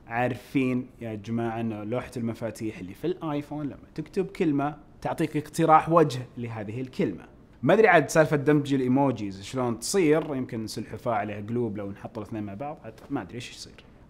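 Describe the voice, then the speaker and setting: Against light background noise, a man of medium pitch talks at a fairly quick pace with lively intonation and big swings in loudness. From Saudi Arabia. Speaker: tech news YouTuber. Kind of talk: tech news video, casual address to viewers. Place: studio.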